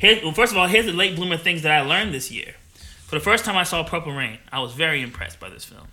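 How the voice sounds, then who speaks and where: A man talks very fast at a high pitch with lively intonation. Background noise is noticeable. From New Jersey. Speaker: podcast host. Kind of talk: casual chat.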